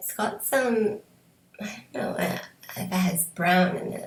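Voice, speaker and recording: A woman's medium-pitched, somewhat breathy voice in an American accent, with fairly even intonation. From Canada. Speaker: beauty vlogger. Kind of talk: product review. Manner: halting, many fillers.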